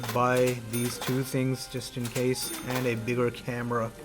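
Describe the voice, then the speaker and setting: Music plays in the background while a man talks at a very slow pace. His pitch is medium, and the room echo is audible. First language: not English. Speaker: gaming YouTuber. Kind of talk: gameplay commentary, reading game dialogue aloud. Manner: casual, conversational.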